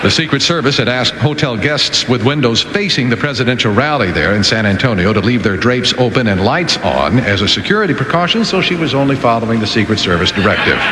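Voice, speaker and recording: A man's medium-pitched voice, very fast with hardly any pauses, lively in intonation and very even in loudness, over noticeable background noise. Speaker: radio newsreader. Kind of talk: radio news reading.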